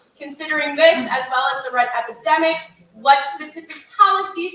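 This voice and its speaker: Projecting her voice, a woman speaks at a high pitch and moderate pace with very wide pitch swings. Her tone is bright and sharp. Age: young. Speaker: debate moderator. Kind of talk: moderating questions.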